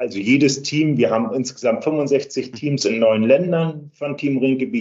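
A man with an unremarkable speaking voice at medium pitch. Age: 60s. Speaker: charity cycling team captain. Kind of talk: interview.

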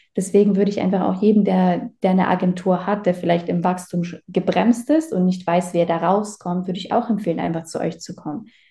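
At a fairly quick pace, a woman speaks in a medium pitch with a dark, mellow tone, a somewhat breathy quality and fairly even intonation. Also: hardly any pauses. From Baden-Württemberg, Germany. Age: 20s. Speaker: agency owner, client testimonial. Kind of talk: testimonial interview.

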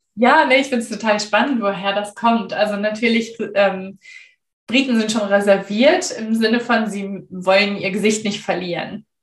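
A woman's fairly high, somewhat breathy voice at a moderate pace with ordinary pitch variation. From Germany. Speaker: storyteller and former translator. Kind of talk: interview.

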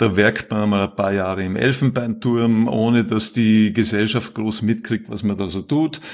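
At a moderate pace, a man speaks in an ordinary speaking voice with medium pitch and fairly even intonation. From Austria, Vorarlberg. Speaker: climate policy professor. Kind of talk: casual interview.

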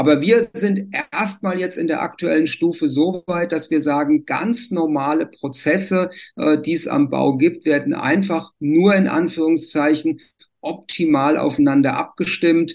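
A man with an ordinary speaking voice and fairly high pitch talks at a fairly slow pace, with ordinary pitch variation. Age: 60s. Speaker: civil engineer, renovation association. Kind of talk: interview.

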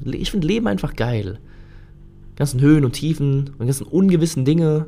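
The pace runs fairly quick. Intonation is lively. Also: man. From Germany. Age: 30s. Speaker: podcaster. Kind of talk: solo podcast monologue. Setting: home recording in his lodging.

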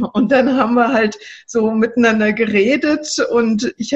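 Noticeable background noise under a woman's fairly high-pitched voice. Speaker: social worker and coach. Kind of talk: interview. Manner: animated.

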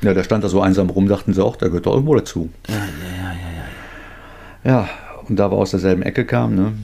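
Very fast and lively in intonation, a man with a very deep, low pitch has a dark, mellow tone and vocal fry. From North Rhine-Westphalia, Germany. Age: 50s. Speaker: recovered addict, self-help group leader. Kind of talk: casual interview.

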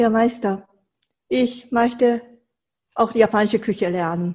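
A woman's fairly high, dark and mellow voice, somewhat breathy, with ordinary pitch variation and a fairly slow pace. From Japan, Tokyo. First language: Japanese (speaking German). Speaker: Japanese cooking teacher. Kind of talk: interview.

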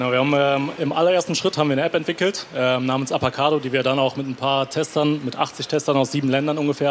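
Very fast and with hardly any pauses, the speech carries fairly even intonation over noticeable background noise. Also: man. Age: 20s. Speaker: startup co-founder. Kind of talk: stage interview. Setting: stage with audience.

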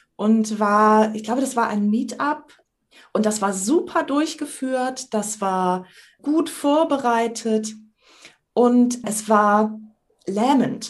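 A woman's fairly high, somewhat breathy voice moves at a very slow pace. She leaves long, frequent pauses. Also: ordinary pitch variation. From northern Germany, island of Sylt. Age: 50s. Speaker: trainer, coach and improv actress. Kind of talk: podcast interview. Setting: video call.

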